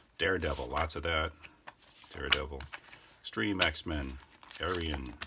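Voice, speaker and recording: A man's very deep, low voice with ordinary pitch variation over noticeable background noise. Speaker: YouTuber showing a yard sale comic haul. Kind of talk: casual walkthrough video. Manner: fast.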